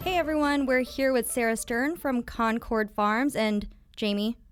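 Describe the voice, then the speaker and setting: This woman has a normal speaking voice. Her pitch is fairly high, with ordinary pitch variation. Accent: General American. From Kansas. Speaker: podcast co-host. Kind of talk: casual interview chat.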